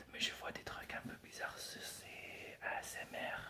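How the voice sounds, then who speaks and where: A man whispers at a very slow pace. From England. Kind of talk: ASMR whisper talk. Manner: whispered, soft-spoken.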